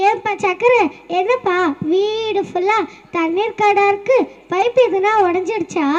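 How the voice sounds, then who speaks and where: In a put-on character voice, a woman talks at a fairly slow pace with extremely high pitch and fairly even intonation. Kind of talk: school comedy skit. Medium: stage play. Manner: scolding, impatient.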